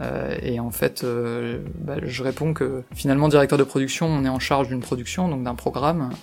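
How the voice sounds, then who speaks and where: With music in the background, a man of medium pitch speaks at a moderate pace with hardly any pauses and fairly even intonation. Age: 30s. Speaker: chief financial officer. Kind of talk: interview. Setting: company office. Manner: hesitant, many fillers and repetitions.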